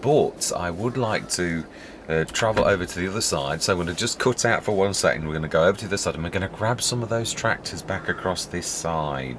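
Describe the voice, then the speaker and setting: A very deep, low-pitched man with lively intonation at a very fast pace, over noticeable background noise. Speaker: gaming video creator. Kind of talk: gameplay commentary. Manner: soft-spoken.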